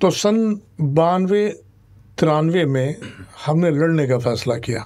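A man's very slow speech, dark and mellow in tone, with ordinary pitch variation and a quiet background. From India. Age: 70s. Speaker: political migrant, former election candidate; election candidate. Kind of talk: interview. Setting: studio. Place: studio. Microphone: studio mic.

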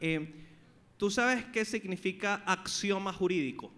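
An animated man with a Venezuelan accent and a bright, sharp tone. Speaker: podcast host. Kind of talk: live comedy talk show with audience. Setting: live venue with audience. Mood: joking, playful banter. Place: stage. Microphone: handheld.

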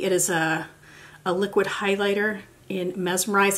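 The speaker is a woman with a medium pitch. She has an American accent. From United States. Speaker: beauty YouTuber. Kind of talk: tutorial. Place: home room.

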